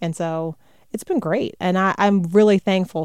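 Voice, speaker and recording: A woman speaks in a plain, everyday voice with an American accent. Her pace is moderate and her intonation fairly even. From US South, North Carolina (Raleigh). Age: 40s. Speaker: TV news anchor. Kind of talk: interview conversation.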